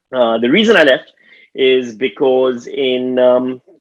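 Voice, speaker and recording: With a Pakistani accent, the speaker talks at a very slow pace. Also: man. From Pakistan, Karachi. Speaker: stand-up comedian. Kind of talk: stand-up. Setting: video call.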